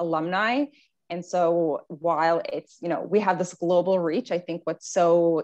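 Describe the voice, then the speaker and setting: Against a quiet background, a woman with an unremarkable speaking voice talks at a moderate pace, fairly low in pitch. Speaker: event host. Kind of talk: welcome address. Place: home room. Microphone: earbuds.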